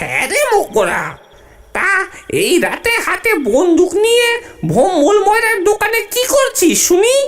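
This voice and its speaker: An extremely high, nasal, whiny cartoonish character voice at a moderate pace. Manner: whiny, nasal sniffling.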